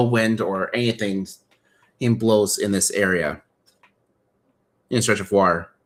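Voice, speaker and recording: At medium pitch, a man speaks with fairly even intonation. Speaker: toy model builder streamer. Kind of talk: casual chat. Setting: live stream.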